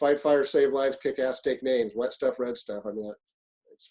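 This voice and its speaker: This man has a dark, mellow tone at a medium pitch and talks at a fairly quick pace. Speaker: fire officer and leadership instructor. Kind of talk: webinar presentation. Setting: online webinar. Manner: fast-paced; animated.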